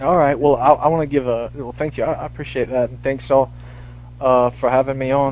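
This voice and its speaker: A man talks at a fairly quick pace, with noticeable background noise in the recording. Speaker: university student. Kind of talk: live talk radio discussion. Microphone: buzzing picked up on his line.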